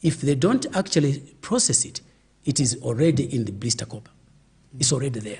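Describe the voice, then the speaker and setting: The voice has a dark, mellow tone and is somewhat breathy, moving at a very fast pace with very wide pitch swings. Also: man. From Zambia, Northeast. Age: 70s. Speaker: veteran politician. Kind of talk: interview. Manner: animated.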